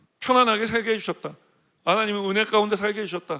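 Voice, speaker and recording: On a very clean recording with a silent background, a man projects a raised, high-pitched voice with a bright, sharp tone. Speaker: senior pastor. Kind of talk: sermon. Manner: fast.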